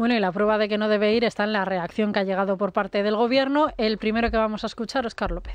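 Fairly high in pitch, a woman speaks at a very fast pace with hardly any pauses, very even loudness, and fairly even intonation. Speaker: radio reporter. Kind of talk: news report. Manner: formal.

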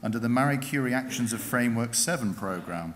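The pace is moderate, with ordinary pitch variation. Light background noise can be heard. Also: man. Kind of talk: formal ceremonial citation. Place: hall. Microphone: podium.

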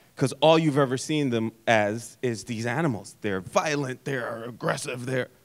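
A man at a moderate pace with hardly any pauses, ordinary pitch variation and a quiet background. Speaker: filmmaker; panelist. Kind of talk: panel discussion. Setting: stage with audience. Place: stage. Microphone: handheld.

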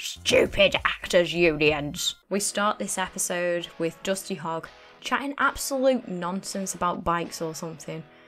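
Over music in the background, a woman with a Northern English accent talks at a fairly low pitch and a fairly slow pace, with lively intonation and hardly any pauses. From Northern England. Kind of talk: comedic video game commentary.

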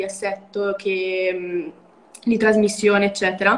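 A woman does the talking here. Her delivery comes at a fairly slow pace. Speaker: motorcycle mechanic student; guest. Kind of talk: casual interview. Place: home room. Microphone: video call.

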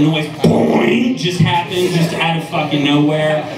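There's noticeable background noise and audible room echo. A man with an American accent speaks at a moderate pace. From US Midwest, Cincinnati. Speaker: comedian. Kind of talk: profane open-mic stand-up set with crowd asides. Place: stage.

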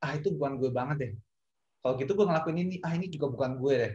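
Against a quiet background, a man speaks at a fairly high pitch. His voice is somewhat breathy, with lively intonation. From East Java, Indonesia (Kediri). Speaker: esports industry professional. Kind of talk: panel discussion. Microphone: video call.

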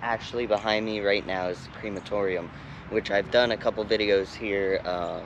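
Over noticeable background noise, a man speaks at a moderate pace in a fairly low, monotone, flat voice, the sound dry with no echo. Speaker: urban explorer vlogger. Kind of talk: casual vlog chat. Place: open country.

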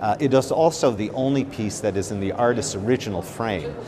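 A man talks at a moderate pace, with noticeable background noise behind him. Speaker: art expert. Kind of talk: interview commentary. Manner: hesitant, filler-heavy. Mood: enthusiastic, admiring. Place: hall.

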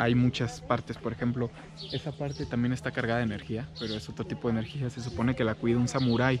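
Very fast and dry with no echo, a man speaks with ordinary pitch movement over noticeable background noise. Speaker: travel vlogger. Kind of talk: casual talk to camera. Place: garden. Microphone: phone near.

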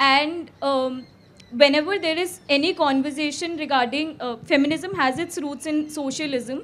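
At a fairly quick pace, a woman talks in a high voice with ordinary pitch variation. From India. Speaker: audience member. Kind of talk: audience question. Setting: festival stage with audience. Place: tent. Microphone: handheld.

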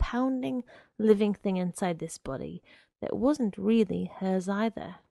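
Lively, bouncy intonation in a plain read-aloud, with a quiet background

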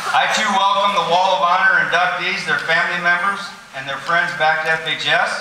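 Audible room echo and light background noise surround a man speaking at a high pitch. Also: fairly even intonation, moderate pace. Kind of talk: ceremony speech. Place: hall. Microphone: podium.

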